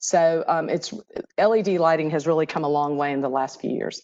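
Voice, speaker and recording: A woman is speaking. Her pace is moderate. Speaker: energy utility program manager. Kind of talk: webinar presentation. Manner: hesitant with fillers.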